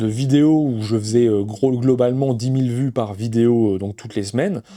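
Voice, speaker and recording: The man's tone is dark and mellow. He talks at a fairly quick pace. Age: 30s. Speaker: board game content creator. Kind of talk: personal monologue to camera. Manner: fast; halting, many fillers.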